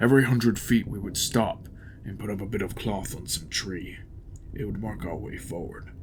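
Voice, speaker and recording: A man's put-on character voice, fairly low in pitch, at a moderate pace over clear background noise. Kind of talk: horror audiobook narration. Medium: read story. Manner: grim, tense.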